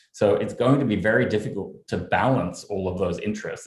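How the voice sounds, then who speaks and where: The man's delivery is very fast. He has an Australian accent. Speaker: journalist. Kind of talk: panel discussion.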